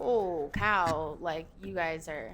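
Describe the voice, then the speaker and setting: With an American accent, a woman talks using ordinary pitch variation. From Minnesota, rural small town. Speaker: festival security worker and concierge. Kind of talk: casual chat. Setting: members' lounge.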